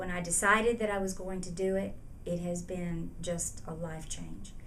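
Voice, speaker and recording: A woman with a fairly low pitch speaks at a moderate pace in a monotone, flat intonation, with audible room echo. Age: 70s. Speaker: patient giving testimonial. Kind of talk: testimony. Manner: hesitant, many fillers.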